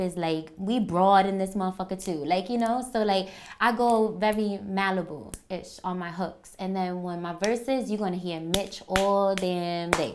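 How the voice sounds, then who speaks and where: A woman speaks at a moderate pace with a Bronx accent. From New York, the Bronx. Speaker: rapper. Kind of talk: interview monologue. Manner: casual, blunt.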